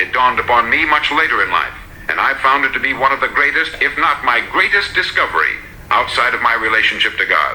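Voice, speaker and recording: A man talks at a very fast pace with an American accent. His loudness stays very even over noticeable background noise. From United States. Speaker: radio broadcaster and motivational speaker. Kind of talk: motivational speech.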